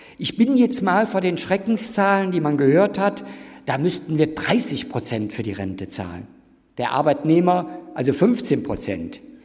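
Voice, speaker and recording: The pitch swings very widely. Room echo is audible. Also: man, high pitch for a man, fairly slow pace. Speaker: professor. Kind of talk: lecture. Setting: university lecture hall with audience.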